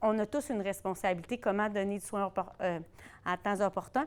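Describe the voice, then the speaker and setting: A woman at medium pitch with ordinary pitch variation and a fairly quick pace, in a very clean recording with a silent background. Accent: Quebec. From Quebec. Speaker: conference discussant on primary care. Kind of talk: closing remarks at academic round table. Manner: fast.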